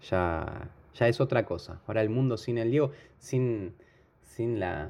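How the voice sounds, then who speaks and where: With a Rioplatense accent, a man speaks at a very slow pace. His intonation is lively. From Argentina, Buenos Aires. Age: 40s. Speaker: football fan. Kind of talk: emotional tribute. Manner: halting.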